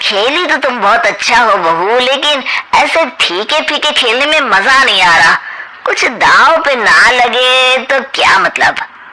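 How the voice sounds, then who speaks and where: A man uses a cartoonish character voice at an extremely high pitch. He raises and projects it. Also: fairly slow pace. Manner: sly, mocking.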